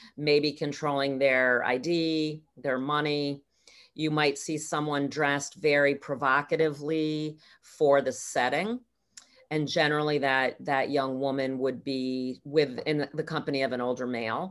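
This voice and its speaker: Speaking in an American accent, a woman has a very deep, low pitch and a flat, monotone intonation. Her pace is fairly slow. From upstate New York. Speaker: nonprofit program director. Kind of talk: interview.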